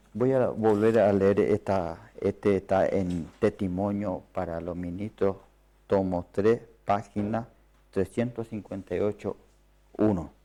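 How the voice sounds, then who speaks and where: A man's fairly low, dark, mellow voice with a non-native accent, fairly even intonation and a very slow pace, on a very clean recording with a silent background. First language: not Spanish (speaking Spanish). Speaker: preacher. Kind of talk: sermon. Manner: halting.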